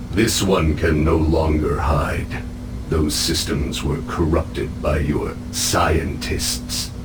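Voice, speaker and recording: Using a put-on character voice, a man talks at a very slow pace over loud background noise. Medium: machinima. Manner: cold, haughty, menacing.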